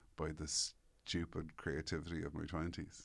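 The speaker has an Irish accent and a monotone, flat intonation at a moderate pace. The recording is very clean, with a silent background. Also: man. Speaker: newspaper columnist and author. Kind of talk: casual interview chat.

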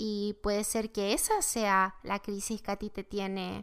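In a very clean recording with a silent background, a woman talks at a fairly slow pace in a normal speaking voice. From Chile. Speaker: tarot teacher, podcast host. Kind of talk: spiritual teaching monologue.

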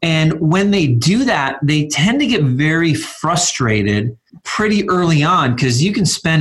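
Lively intonation marks a man's plain, everyday voice as he goes at a fairly slow pace. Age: 40s. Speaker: minimalism author and blogger. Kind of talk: interview.

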